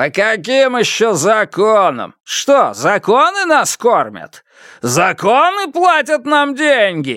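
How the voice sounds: In a put-on character voice, a man speaks slowly at a high pitch, with a bright, sharp tone and very wide pitch swings.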